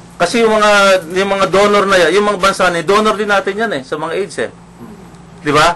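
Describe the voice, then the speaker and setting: Against noticeable background noise, a man raises and projects his high-pitched voice, talking fairly quickly with fairly even intonation. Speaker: radio talk show host. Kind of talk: casual talk radio discussion. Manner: halting, many fillers.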